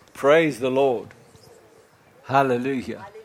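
A man's fairly high voice at a very slow pace, with audible room echo and noticeable background noise. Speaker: pastor. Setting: church with congregation. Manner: exuberant, punctuated by shouted hallelujahs and praise interjections; rising, declamatory prayer cadence with repeated emphatic words (never, never, never).

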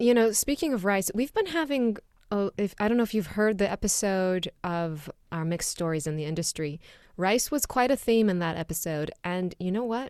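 A woman talks at a moderate pace in an ordinary speaking voice. Her medium pitch carries lively intonation. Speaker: podcast co-host. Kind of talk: casual chat.

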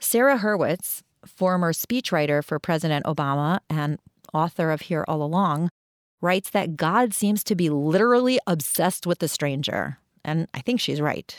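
An unremarkable speaking voice with an American accent, lively intonation, and a moderate pace, in a dry, close sound without echo. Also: woman, fairly low pitch for a woman. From Queens, New York, then Cleveland, Ohio. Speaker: podcast host. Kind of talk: scripted narration with personal stories. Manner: reflective, storytelling.

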